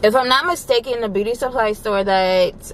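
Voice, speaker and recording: A woman's voice with ordinary pitch variation comes through dry with no echo over light background noise. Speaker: vlogger. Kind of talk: casual vlog chat. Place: car. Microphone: phone near.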